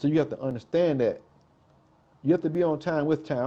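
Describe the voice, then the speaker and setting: A man's fairly high voice with a dark, mellow tone, ordinary pitch variation and a very fast pace. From South Carolina, Greenville/Columbia. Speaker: hip-hop artist. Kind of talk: interview.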